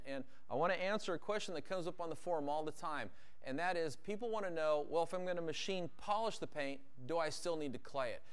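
A high-pitched man at a very fast pace. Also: ordinary pitch variation. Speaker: detailing instructor. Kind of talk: tutorial. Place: garage.

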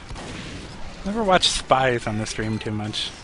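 Against noticeable background noise, a man with a medium pitch and ordinary pitch variation talks at a fairly slow pace. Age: 20s. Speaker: game commentator. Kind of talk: live commentary.

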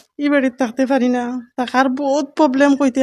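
This woman talks at a high pitch. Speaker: widowed housewife. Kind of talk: media appeal. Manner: halting.

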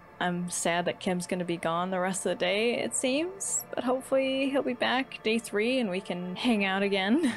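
Over faint background music, a woman talks with hardly any pauses. Her intonation is lively. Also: moderate pace. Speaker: gaming YouTuber. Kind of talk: let's play commentary. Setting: home recording at night. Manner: soft-spoken. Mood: amused, a bit sad. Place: home room.

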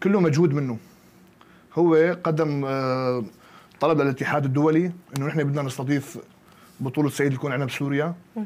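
The speaker is a man with a fairly high pitch. He goes at a moderate pace with fairly even intonation. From Syria, Qamishli; Syria. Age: 20s. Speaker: bodybuilding coach and athlete; bodybuilding coach. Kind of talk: interview. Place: studio. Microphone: lapel.

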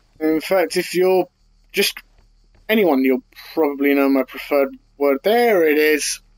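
A man with a British accent speaks in a fairly high voice at a fairly slow pace, with long, frequent pauses. His intonation is lively and his loudness very even. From UK. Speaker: gaming YouTuber. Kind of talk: casual gameplay commentary. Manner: annoyed, chatty. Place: home room.

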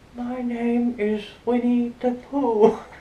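A female-sounding put-on character voice sits high in pitch for a woman. Its intonation is monotone and flat, with light background noise. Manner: poor imitation.

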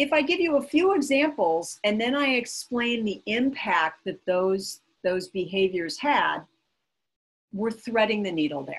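Speaking at a fairly slow pace, a woman with an American accent has a fairly high, somewhat breathy voice. Her pitch swings very widely. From US Midwest. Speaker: communications consultant and workshop presenter; presenter. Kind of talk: interactive workshop presentation. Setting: online webinar. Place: home room. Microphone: webcam.

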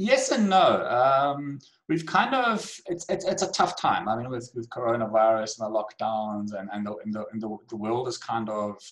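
The voice moves at a moderate pace with lively intonation. The background is quiet. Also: man. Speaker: guest. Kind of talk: interview answer. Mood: reflective, occasional laughs. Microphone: video call.

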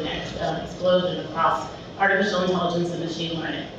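Strong room echo and noticeable background noise surround a woman talking at a moderate pace. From Philadelphia. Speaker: conference speaker, tech business development lead. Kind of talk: conference talk. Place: hall.

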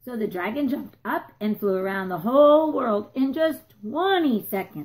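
Intonation is lively in this unforced reading voice.

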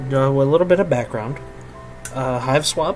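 Over music in the background, a man talks at a fairly high pitch with fairly even intonation. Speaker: student radio station host. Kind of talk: gaming let's play commentary. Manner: casual, profane.

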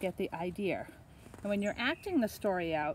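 The passage comes across as reading aloud in a natural voice.

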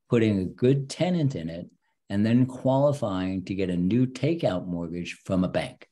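At a moderate pace, a man talks with a fairly low pitch, a dark, mellow tone and lively intonation.

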